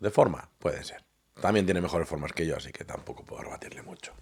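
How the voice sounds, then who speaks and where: Soft-spoken, a man talks in a very deep, low voice. His intonation stays fairly even. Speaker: political commentator reacting to videos. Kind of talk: casual reaction commentary. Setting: at home late at night. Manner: quiet, speaking softly; hesitant, many fillers.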